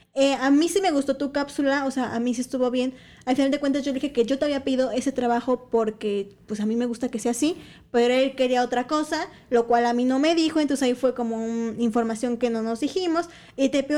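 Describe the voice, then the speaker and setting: Very fast speech in a Mexican accent, dark and mellow in tone, with ordinary pitch variation. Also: woman, high pitch for a woman, very clean recording, silent background. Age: 20s. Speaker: sports journalist. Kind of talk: casual chat.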